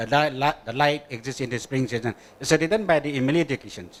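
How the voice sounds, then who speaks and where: Speaking very fast, a man with a Manipur accent uses a fairly high pitch. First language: Manipuri. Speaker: English teacher in audience. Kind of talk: audience question. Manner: halting.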